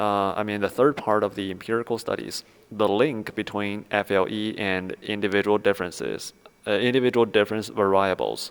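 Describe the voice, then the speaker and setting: A man with a Chinese accent, fairly low in pitch, fairly quick in pace, with fairly even intonation. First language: Mandarin Chinese. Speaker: academic research explainer. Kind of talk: lecture. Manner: halting, many fillers.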